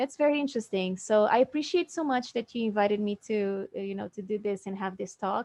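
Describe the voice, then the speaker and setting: With a non-native accent, a woman talks fairly quickly in a fairly high pitch, hardly pausing, with ordinary pitch variation in a dry, close sound with no echo. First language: not English. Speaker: fitness influencer. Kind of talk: interview. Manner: halting.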